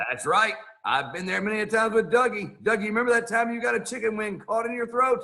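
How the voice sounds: Putting on a character voice, a man talks fast at a high pitch, with a bright, sharp tone, vocal fry and ordinary pitch variation.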